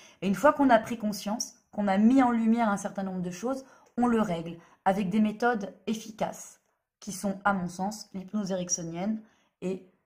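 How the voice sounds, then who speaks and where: Somewhat breathy, a woman speaks at a medium pitch. She moves at a moderate pace with ordinary pitch variation. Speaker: therapist. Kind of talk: monologue video explanation. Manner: hesitant, many fillers.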